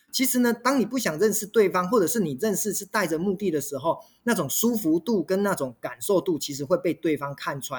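Barely pausing, a man with a high voice talks at a fairly quick pace with lively intonation. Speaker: restaurant company executive and author. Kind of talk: interview.

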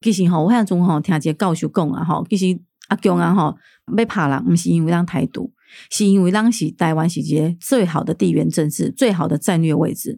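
A woman's fairly low, dark and mellow voice with vocal fry, ordinary pitch variation and a fairly quick pace, on a very clean recording with a silent background and a dry, close sound with no echo. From Taiwan, Keelung (Nuannuan). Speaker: city councillor and candidate. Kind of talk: political interview.

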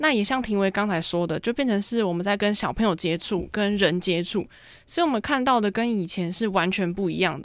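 Lively in intonation, a woman speaks at a fairly quick pace. The recording is very clean, with a silent background. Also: medium pitch for a woman. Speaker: university journalism student. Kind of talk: casual interview chat. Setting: studio. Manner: clear, precise enunciation; steady, mature-sounding.

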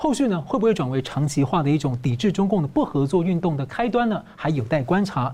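With hardly any pauses and very even loudness, a man talks at a fairly quick pace and a fairly high pitch, with a dark, mellow tone and lively intonation. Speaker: news show host. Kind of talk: news talk show interview.

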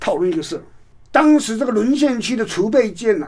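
At a moderate pace, a man with a high-pitched voice speaks with lively intonation. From Taiwan, Taipei. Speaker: professor and author. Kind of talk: interview.

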